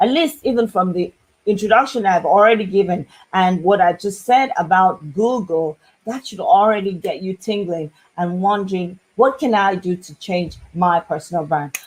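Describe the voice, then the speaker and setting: In an ordinary speaking voice, a woman keeps a moderate pace, a medium pitch, and ordinary pitch variation. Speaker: business consultant and marketing coach. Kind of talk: business advice talk to camera.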